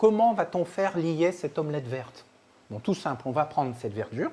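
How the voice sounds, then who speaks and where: This man's voice sits high in pitch. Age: 60s. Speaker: chef and nutrition expert. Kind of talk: live cooking workshop. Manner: animated.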